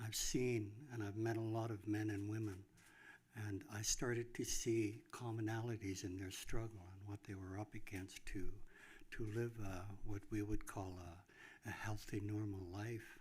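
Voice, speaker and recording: Somewhat breathy and fairly low-pitched, a man speaks at a moderate pace with monotone, flat intonation. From northern British Columbia, Canada. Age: 70s. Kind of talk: speech at public event. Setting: grand opening event with audience. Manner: hesitant.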